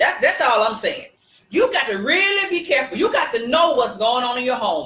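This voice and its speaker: A woman speaks in a high, raised and projected voice at a fairly quick pace. Her pitch swings very widely. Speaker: live show co-host. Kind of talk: casual chat. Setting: live video stream. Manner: halting, repeats words.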